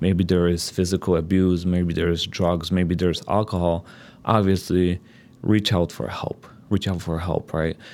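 A man speaks at a moderate pace in a very deep, low voice with a Polish accent and flat, monotone intonation. The recording is very clean, with a silent background. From Poland. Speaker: divorce coach. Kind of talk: interview. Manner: hesitant, filler-heavy.

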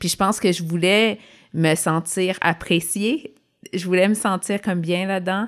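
In a very clean recording with a silent background, a woman at medium pitch speaks fairly slowly with fairly even intonation. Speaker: podcast co-host, former nurse. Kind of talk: casual chat.

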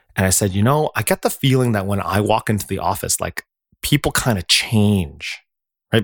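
A man with a medium pitch and ordinary pitch variation speaks at a moderate pace, the sound dry and close with no echo in a very clean recording with a silent background. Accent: Canadian. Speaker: marketing agency owner. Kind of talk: interview. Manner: loud, forceful.

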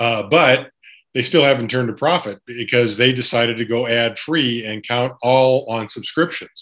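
A man talks in a plain, everyday voice at medium pitch and a moderate pace, with fairly even intonation. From US Pacific Northwest. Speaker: sports journalist. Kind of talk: casual interview.

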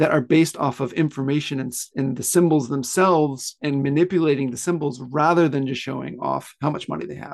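Against a quiet background, a man with an American accent and a normal speaking voice talks at a fairly quick pace, his fairly high pitch showing ordinary variation. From US South (Pensacola, Florida). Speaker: author. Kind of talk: interview.

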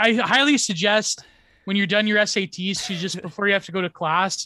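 A man with a Canadian accent uses a raised, projected voice at a high pitch. His tone is bright and sharp, and the sound is dry and close with no echo. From Canada. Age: 20s. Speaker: stream co-host. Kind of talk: casual chat.

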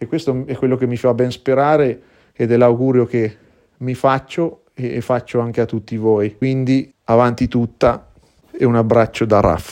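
A man speaks fairly slowly at a medium pitch with fairly even intonation, in an unremarkable speaking voice. The background is quiet. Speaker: blues singer. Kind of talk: recorded testimony.

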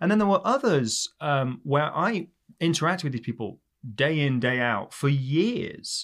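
A man with an English accent speaks at a moderate pace, his fairly high pitch moving in very wide swings. The recording is very clean, with a silent background. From England. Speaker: criminal justice professor. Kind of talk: interview conversation.

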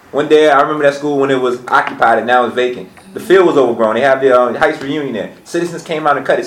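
A man with an American accent and ordinary pitch variation, plus audible room echo and noticeable background noise. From Petersburg, Virginia. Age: 20s. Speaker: small business owner. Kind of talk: roundtable discussion.

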